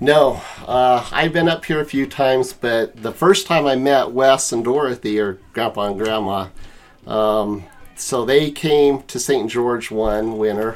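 In a normal speaking voice with an American accent, a man talks at a fairly slow pace in a medium pitch with ordinary pitch variation. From Utah, US. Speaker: family guest, father. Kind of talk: casual chat.

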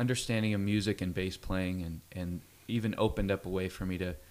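The speaker has an American accent. Intonation stays fairly even throughout. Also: man. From Central California (Fresno). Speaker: worship leader and musician. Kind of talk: radio interview.

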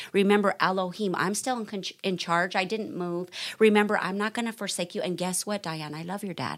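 On a very clean recording with a silent background, a woman speaks fairly quickly in a medium pitch with an animated tone. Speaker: podcast host, church member. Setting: podcast recording. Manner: earnest, animated, fervent and heartfelt.

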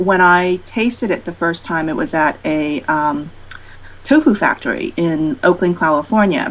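A woman talks in a plain, everyday voice at a moderate pace. Her pitch is fairly low, with ordinary pitch variation. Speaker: cookbook author. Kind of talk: podcast interview.

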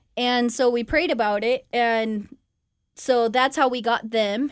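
A woman with a Californian accent, fairly high in pitch and fairly slow, with fairly even intonation, in a very clean recording over a silent background. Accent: Californian American. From Southern California (La Verne, near LA). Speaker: missionary. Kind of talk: casual storytelling interview. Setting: radio studio.

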